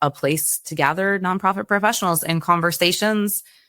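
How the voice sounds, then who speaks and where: Bright and sharp in tone, a woman speaks with a Canadian accent on a very clean recording with a silent background. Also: dry, close sound with no echo. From Canada. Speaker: nonprofit community founder. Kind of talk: podcast interview.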